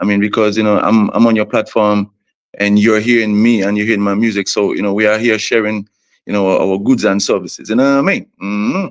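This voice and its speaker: In a Vincentian accent, a man talks at a fairly quick pace with monotone, flat intonation and a fairly low pitch against a quiet background. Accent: Vincentian Caribbean English. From St Vincent and the Grenadines. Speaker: soca artist. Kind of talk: interview.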